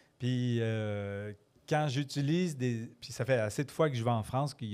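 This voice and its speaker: In a slight Quebec accent, a man speaks at a moderate pace with a medium pitch, ordinary pitch variation and a dark, mellow tone. The recording is very clean, with a silent background. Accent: Quebec French, mild. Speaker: storyteller. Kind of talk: casual interview. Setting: pub with live audience.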